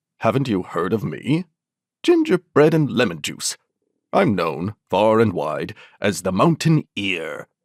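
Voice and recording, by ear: A woman puts on a character voice at an extremely low pitch, with big pitch swings. She talks at a fairly slow pace in a dry, close sound with no echo. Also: slightly mellow tone, very clean recording, silent background.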